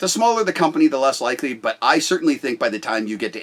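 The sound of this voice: A loud man at a fairly quick pace, with big pitch swings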